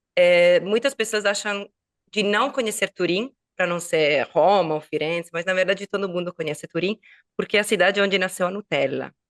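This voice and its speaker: This woman speaks at a moderate pace with a medium pitch and ordinary pitch variation. The sound is dry and close, with no echo. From Italy, Turin (Piedmont). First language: Italian (speaking Portuguese). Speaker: Italian teacher and online entrepreneur. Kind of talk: podcast interview. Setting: online recording.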